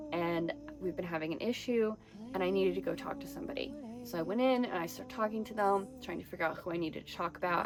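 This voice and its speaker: With an American accent, a woman talks very fast at a medium pitch with lively intonation. Her loudness swings widely, and there is noticeable background noise. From Texas. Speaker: spiritual podcast host. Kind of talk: personal testimony monologue. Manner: occasional word-finding pauses and mispronunciations from brain injury.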